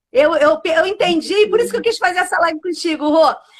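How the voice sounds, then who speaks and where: An extremely high, animated female voice with ordinary pitch variation. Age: 60s. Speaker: pastor and live show host. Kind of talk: casual live stream chat. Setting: live stream.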